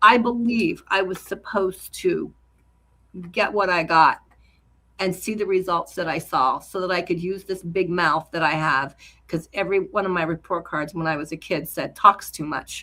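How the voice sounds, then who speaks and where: This woman's tone is bright and sharp, with a medium pitch. She keeps a moderate pace. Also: ordinary pitch variation. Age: 60s. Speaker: supplement seller and cancer survivor. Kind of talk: interview. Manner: halting.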